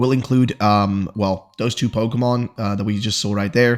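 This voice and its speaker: Quiet and fairly quick, the voice keeps a fairly even intonation. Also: man. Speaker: gaming YouTuber. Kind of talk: news roundup commentary. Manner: quiet, low volume; casual with fillers.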